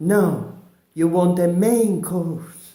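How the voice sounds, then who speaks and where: Over music in the background, a man with an Italian accent speaks at a high pitch, with audible room echo. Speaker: comedian. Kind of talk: comic monologue. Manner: halting.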